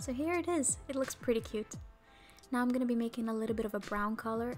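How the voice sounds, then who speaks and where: Music plays behind a woman speaking at a fairly quick pace. Her pitch is fairly high, with ordinary variation. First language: not English. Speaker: nail art youtuber. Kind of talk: tutorial. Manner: casual, chatty.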